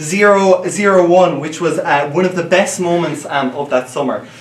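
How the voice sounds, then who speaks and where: With an Irish accent, a man talks at a fairly quick pace, his voice carrying audible room echo over noticeable background noise. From Ireland. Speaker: student debater. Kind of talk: competitive debate speech. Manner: many fillers and hesitations.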